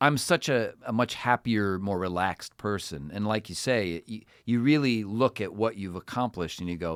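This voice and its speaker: A man with an unremarkable speaking voice and an American accent talks at a moderate pace, fairly low in pitch, with ordinary pitch variation and hardly any pauses. The sound is dry and close with no echo, on a very clean recording with a silent background. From Cleveland, Ohio, US. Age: 40s. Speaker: voice actor and impressionist. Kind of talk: casual interview chat.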